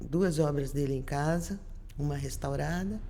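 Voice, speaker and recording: Audible room echo surrounds a woman whose very deep, low voice moves at a moderate pace. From Brazil, Rio de Janeiro then Curitiba. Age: 60s. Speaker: visual artist. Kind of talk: interview. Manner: halting, with false starts.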